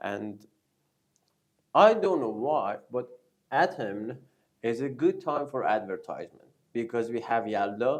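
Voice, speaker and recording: With a Persian accent, a man speaks at a medium pitch and a fairly slow pace, his intonation lively and his pauses long and frequent. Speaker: news show host. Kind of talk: casual chat. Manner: halting.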